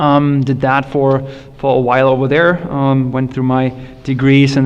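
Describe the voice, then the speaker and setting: A man with a German accent and a fairly high voice speaks at a moderate pace, with noticeable background noise and audible room echo. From Germany, Berlin area. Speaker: tech industry panelist. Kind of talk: panel discussion.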